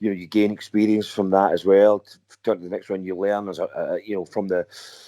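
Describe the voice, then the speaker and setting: With a Scottish accent, a man talks at a very fast pace in a fairly low, dark, mellow tone, his intonation monotone and flat while his loudness swings widely. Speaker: rock singer and guitarist. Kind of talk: interview. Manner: halting, many repeated words.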